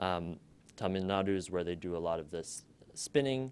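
A man with an unremarkable speaking voice, moderate pace and ordinary pitch variation. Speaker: undergraduate student and documentary maker; presenter. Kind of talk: student presentation. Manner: casual, upbeat. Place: classroom. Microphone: podium.

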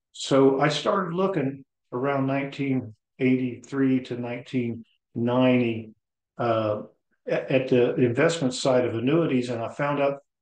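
A man speaks at a medium pitch with ordinary pitch variation. The background is quiet, though some room echo can be heard. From Ohio. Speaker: insurance broker. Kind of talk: sales pitch. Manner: casual. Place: home room. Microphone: webcam.

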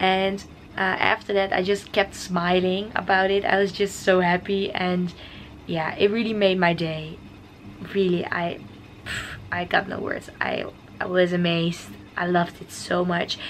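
Fairly slow and with fairly even intonation, a woman speaks over light background noise. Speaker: vlogger. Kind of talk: casual vlog chat. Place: home room. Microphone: phone near.

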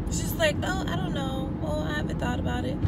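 There is loud background noise behind a woman, though the sound itself is dry with no echo. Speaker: vlogger. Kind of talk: casual vlog chat. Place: car. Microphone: phone near.

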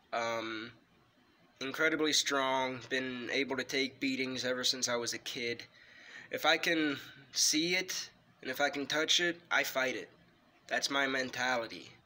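With a bright, sharp tone and fairly even intonation, a man talks at a fairly slow pace, leaving long, frequent pauses. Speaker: wrestling video creator. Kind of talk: ghost story telling, personal true-account told casually to camera. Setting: home-recorded video. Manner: halting, hesitant, filled with ums and restarts; earnest, tense, fearful tone, emphatic. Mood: calm, earnest. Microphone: phone near.

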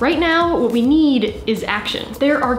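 Woman's voice with audible room echo and music in the background. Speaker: video creator. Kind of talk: advocacy talk to camera. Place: home room.

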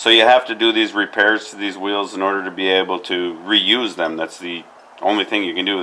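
This is an unremarkable speaking voice moving at a fairly quick pace. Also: man. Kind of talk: tutorial. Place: garden.

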